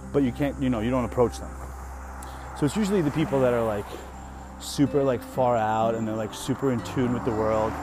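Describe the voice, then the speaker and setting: Over noticeable background noise, a man talks at a fairly quick pace with long, frequent pauses, his medium pitch showing ordinary variation. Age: 30s. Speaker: podcast host. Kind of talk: casual monologue. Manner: animated.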